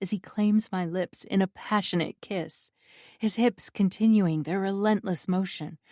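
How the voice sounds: Someone reads in a natural reading voice, the intonation fairly even. Nothing much is heard behind it.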